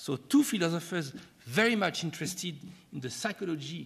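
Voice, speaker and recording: A man with a French accent uses vocal fry and ordinary pitch variation. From France. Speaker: professor, keynote speaker. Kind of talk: keynote lecture. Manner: halting, frequent hesitations.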